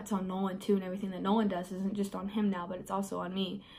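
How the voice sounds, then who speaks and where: A woman talks with an American accent. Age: 20s. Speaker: beauty vlogger. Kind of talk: get ready with me Q&A. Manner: casual, hesitant with many fillers.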